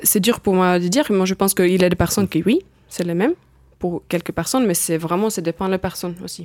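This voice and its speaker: In a dry, close sound with no echo, a woman talks at a very fast pace. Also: medium pitch for a woman, ordinary pitch variation. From Finland. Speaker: circus artist. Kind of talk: studio interview. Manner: hesitant, non-native phrasing.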